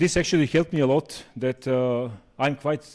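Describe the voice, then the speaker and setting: The recording is very clean, with a silent background. A man speaks with a Serbian accent and ordinary pitch variation. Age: 40s. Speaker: conference speaker. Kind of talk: lecture.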